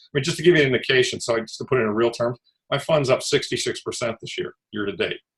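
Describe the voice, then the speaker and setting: A somewhat breathy man talks very fast. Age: 60s. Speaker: investment fund manager. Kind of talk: interview. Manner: hesitant, many fillers.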